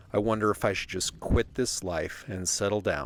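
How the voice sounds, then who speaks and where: A man's very deep, low voice at a moderate pace, with ordinary pitch variation and music in the background. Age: 50s. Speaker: travel writer and vlogger. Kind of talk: personal narration.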